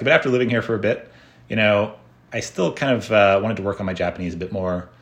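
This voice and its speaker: Speaking with an American accent, a man goes at a very fast pace. His pitch shows ordinary variation. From United States. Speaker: tech entrepreneur and software developer. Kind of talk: interview conversation.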